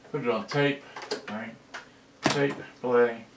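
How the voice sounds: With audible room echo, a man speaks at a slow pace and with fairly even intonation. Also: medium pitch for a man.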